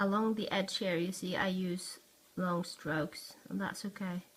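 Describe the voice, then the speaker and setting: A woman speaks in a Norwegian accent at a fairly slow pace. Her medium pitch carries fairly even intonation. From Norway. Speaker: art tutorial youtuber. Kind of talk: tutorial. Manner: halting, searching for words.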